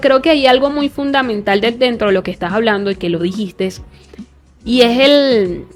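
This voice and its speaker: Music plays in the background as a woman speaks at a fairly high pitch and a moderate pace, with lively intonation. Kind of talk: podcast host interview.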